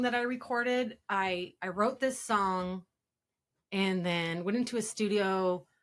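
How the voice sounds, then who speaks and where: On a very clean recording with a silent background, a woman with a Pacific Northwest accent speaks at a very slow pace with lively intonation. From Spokane area, Washington. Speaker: rapper. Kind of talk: interview.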